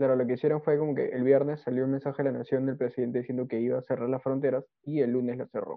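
A man talks at a very fast pace with hardly any pauses. His medium-pitched voice stays monotone and flat. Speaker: podcast co-host. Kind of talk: casual chat.

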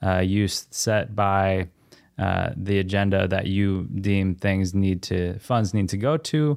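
The recording is very clean with a silent background. A man talks at a fairly slow pace, his fairly low voice showing ordinary pitch variation. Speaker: podcast host. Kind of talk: casual interview. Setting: studio. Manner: warm, enthusiastic.

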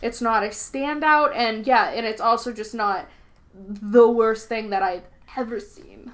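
A woman with an American accent, fairly high pitch, ordinary pitch variation, big swings in loudness and a fairly slow pace. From Boston. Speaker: podcast host. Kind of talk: casual chat.

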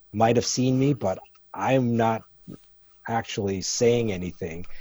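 Pausing long and often, a man speaks at a very slow pace with medium pitch and ordinary pitch variation. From Canada. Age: 50s. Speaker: photographer. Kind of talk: casual chat. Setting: video call.

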